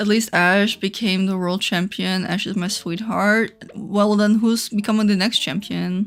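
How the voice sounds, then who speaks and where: The speaker has a Dutch accent and talks at a fairly slow pace with hardly any pauses. The intonation stays monotone and flat. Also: woman, medium pitch for a woman. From Netherlands. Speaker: gaming streamer. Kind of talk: casual live stream chat. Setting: live stream. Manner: chatty, rambling.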